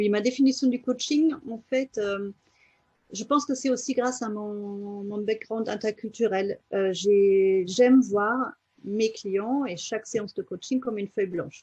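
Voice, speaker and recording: At a fairly slow pace, a woman speaks in a somewhat breathy, dark, mellow tone with ordinary pitch variation. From Germany. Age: 40s. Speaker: life coach. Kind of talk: interview. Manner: halting, many fillers.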